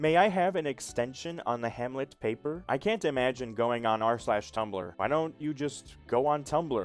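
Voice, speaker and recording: Music plays in the background as the speaker talks at a moderate pace with lively intonation. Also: man. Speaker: voice-over artist. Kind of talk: comedic social media post reading.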